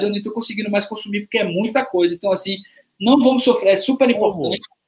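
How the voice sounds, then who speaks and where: A man talks in a high pitch. His pitch varies in an ordinary way. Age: 40s. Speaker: music producer and artist manager. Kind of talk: panel discussion.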